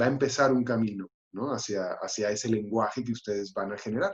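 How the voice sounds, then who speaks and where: This man uses ordinary pitch variation around a medium pitch, talking at a moderate pace. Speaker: actor and playwright. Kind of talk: panel discussion. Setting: livestream. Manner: halting.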